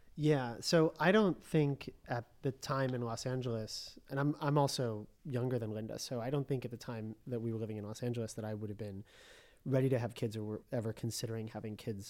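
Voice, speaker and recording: On a very clean recording with a silent background, a man with a General American accent speaks in a plain, everyday voice at a medium pitch, a fairly quick pace and ordinary pitch variation. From US, Colorado. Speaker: expat parent and business owner. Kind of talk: casual interview.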